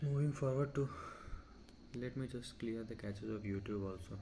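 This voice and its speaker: Quiet and somewhat breathy, a man's dark, mellow voice moves at a fairly quick pace with fairly even intonation. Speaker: tech tutorial creator. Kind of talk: casual screen-recorded tutorial narration. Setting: background noise. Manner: quiet, low volume.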